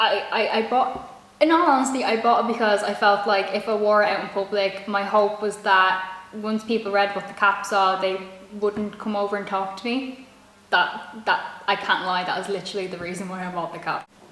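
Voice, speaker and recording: With a Dublin accent, a woman talks at a moderate pace and a medium pitch with fairly even intonation, over noticeable background noise. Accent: Irish (Dublin). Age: young. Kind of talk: casual talk to camera.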